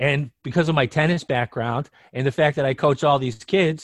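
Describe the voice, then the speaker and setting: This is a man with an ordinary speaking voice, fairly high in pitch and with ordinary variation. He talks at a fairly quick pace in a dry, close sound with no echo. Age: 50s. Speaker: sports betting handicapper. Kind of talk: casual chat.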